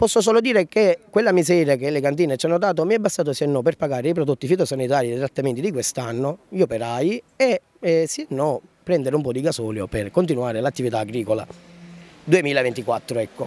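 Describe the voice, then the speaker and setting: A man talks at a fairly quick pace in a fairly high pitch, the sound dry with no echo. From Sicily. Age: 20s. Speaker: farmer. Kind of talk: street interview. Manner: animated. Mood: frustrated, aggrieved. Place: street. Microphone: handheld.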